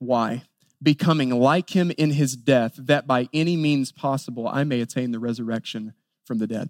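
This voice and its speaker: A plain, everyday voice moves at a moderate pace with ordinary pitch variation. The recording is very clean and dry, close with no echo over a silent background. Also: man, medium pitch for a man. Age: 30s. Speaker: pastor. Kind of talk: sermon.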